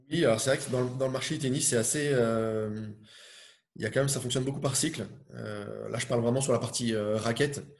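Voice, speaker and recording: A man's medium-pitched, somewhat breathy voice at a fairly quick pace, with fairly even intonation and audible room echo. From Brittany, Finistère. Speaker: tennis brand player manager. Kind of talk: interview. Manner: hesitant, many fillers.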